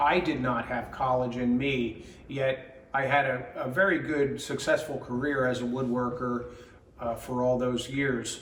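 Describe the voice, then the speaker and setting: A man speaks at a medium pitch and a fairly slow pace. Audible room echo and noticeable background noise fill the recording. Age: 60s. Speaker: woodworking teacher. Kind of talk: promotional talk. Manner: hesitant, many fillers.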